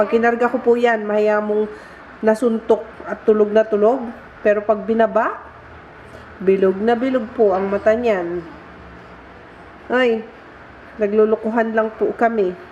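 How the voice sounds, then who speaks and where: A woman's fairly high, flat monotone at a fairly slow pace, with long, frequent pauses over noticeable background noise. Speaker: vlogger. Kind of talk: casual vlog.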